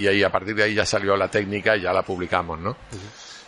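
This man talks at a fairly quick pace in a bright, sharp tone with monotone, flat intonation. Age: 60s. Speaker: orthopaedic surgeon. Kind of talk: interview. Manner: halting.

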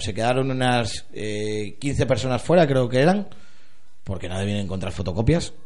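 With audible room echo, a man talks at a medium pitch and a moderate pace. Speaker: football podcast host. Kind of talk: casual chat.

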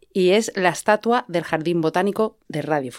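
Recorded very cleanly against a silent background with a dry, close sound and no echo, a woman with a Madrid accent speaks at medium pitch and a fairly slow pace, with ordinary pitch variation. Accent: Castilian Spanish (Madrid). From Spain, Madrid. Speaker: playwright. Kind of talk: casual chat. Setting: improvised home studio in a fitting room.

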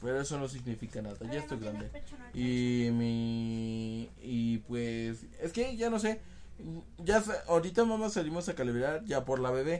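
A man talks at a medium pitch and a moderate pace. His tone is animated and his intonation lively. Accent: Mexican. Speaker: podcast host. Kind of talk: casual chat.

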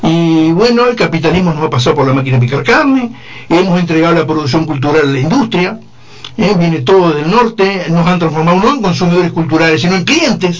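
Over noticeable background noise and audible room echo, a man with a Uruguayan accent speaks at a fairly quick pace and high pitch, with lively intonation and very even loudness. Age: 60s. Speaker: retired philosophy teacher. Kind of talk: panel debate.

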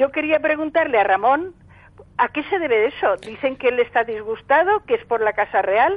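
Her high voice makes very wide pitch swings at a moderate pace while the loudness stays very even. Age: old. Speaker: caller. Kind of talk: phone-in question. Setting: phone call.

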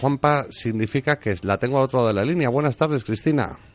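A man's fairly quick speech, dry and close with no echo, over music in the background. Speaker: radio host. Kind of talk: talk radio discussion.

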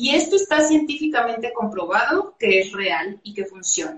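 A woman's high-pitched voice at a fairly slow pace. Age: 40s. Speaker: personal development coach and healing therapist. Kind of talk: live-streamed interview.

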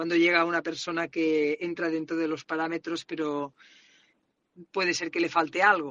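With a strong Catalan accent, a woman speaks at a fairly low pitch. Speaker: salesperson, listener sending a voice message. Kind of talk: personal voice message.

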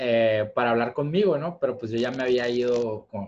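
This man has a plain, everyday voice. He keeps a moderate pace, and his pitch varies in an ordinary way. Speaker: podcast host. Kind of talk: casual chat.

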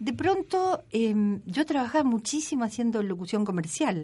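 A woman speaks in an unremarkable speaking voice at a moderate pace. Her intonation is lively. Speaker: radio presenter and former actress. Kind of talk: casual chat. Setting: studio.

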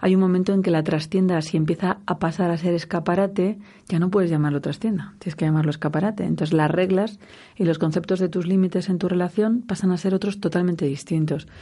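A woman speaks at a fairly quick pace with a medium pitch, a dark, mellow tone and a somewhat breathy quality, her loudness very even and her intonation fairly even over a quiet background. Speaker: radio host and sexologist. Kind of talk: radio talk show interview. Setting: radio studio.

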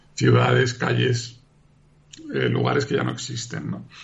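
Audible room echo and noticeable background noise around speech at a moderate pace. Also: man. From Uruguay, raised abroad in several countries. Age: 50s. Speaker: novelist. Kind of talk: interview.

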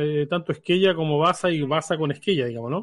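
Lively intonation at a moderate pace. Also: man. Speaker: radio host. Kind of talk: casual radio panel discussion.

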